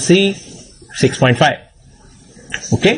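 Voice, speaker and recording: With an Indian accent, a man talks at a moderate pace and a high pitch, with noticeable background noise behind him. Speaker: obstetrician and medical exam teacher. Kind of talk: lecture.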